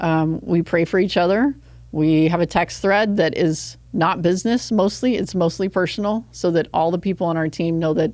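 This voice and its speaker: Delivered at a moderate pace with an American accent, the voice holds very even loudness and ordinary pitch variation on a very clean recording with a silent background. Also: woman, fairly low pitch for a woman. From West Texas (Odessa). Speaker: nonprofit executive director. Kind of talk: interview conversation.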